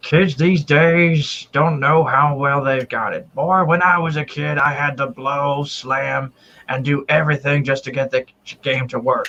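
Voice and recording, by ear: Putting on a character voice, a man speaks in a fairly high pitch. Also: moderate pace.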